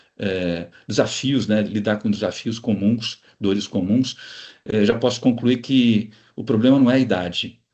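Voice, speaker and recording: This man has an unremarkable speaking voice, medium in pitch, with fairly even intonation and a fairly slow pace. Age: 60s. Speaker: organizational consultant. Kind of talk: interview.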